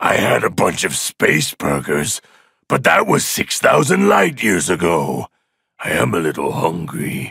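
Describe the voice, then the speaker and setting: In a put-on character voice, a man speaks raspy and very deep at a fairly slow pace. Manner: commanding, gloating.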